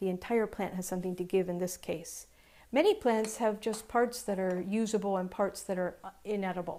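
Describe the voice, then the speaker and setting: Her tone dark and mellow, a woman speaks at a fairly quick pace with fairly even intonation. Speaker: cooking show host. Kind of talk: tutorial. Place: kitchen. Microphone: lapel.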